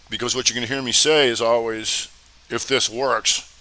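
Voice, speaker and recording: This man speaks at a medium pitch in a monotone, flat delivery. Noticeable background noise runs behind him. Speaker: trading educator. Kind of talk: live Q&A webinar. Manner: casual; fast.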